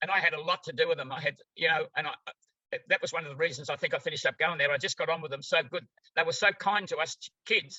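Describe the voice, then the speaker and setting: A man talks with an Australian accent. His pace is very fast. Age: 90s. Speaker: therapy practitioner. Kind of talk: interview. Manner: halting.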